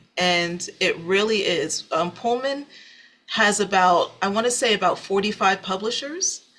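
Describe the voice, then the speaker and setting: A woman with an American accent talks in a bright, sharp tone. Her loudness stays very even. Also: medium pitch for a woman, ordinary pitch variation, fairly slow pace. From US Northeast (New Jersey). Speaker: singer-songwriter. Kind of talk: interview. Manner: halting.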